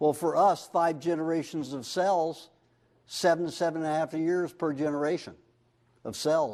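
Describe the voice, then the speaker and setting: This man's voice is fairly high. He talks at a moderate pace. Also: quiet background. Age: 50s. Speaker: diet workshop speaker. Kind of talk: workshop lecture. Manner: animated.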